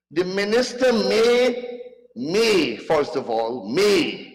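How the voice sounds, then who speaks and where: A man's high voice at a very slow pace, with audible room echo. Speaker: member of parliament. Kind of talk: parliamentary debate speech. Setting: parliament chamber. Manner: animated.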